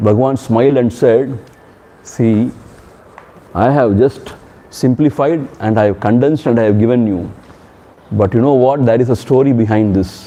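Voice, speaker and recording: A man's medium-pitched voice with a Tamil accent, ordinary pitch variation and a moderate pace, over noticeable background noise. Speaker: swami, spiritual teacher. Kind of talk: spiritual discourse with storytelling. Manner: conversational, animated storytelling.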